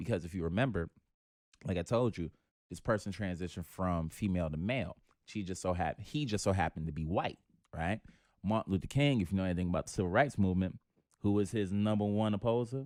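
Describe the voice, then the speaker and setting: A man talks very fast in a very deep, low pitch with a New York accent. The sound is dry and close with no echo, on a very clean recording with a silent background. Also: ordinary pitch variation. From New York City. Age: 20s. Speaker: comedian. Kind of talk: casual chat.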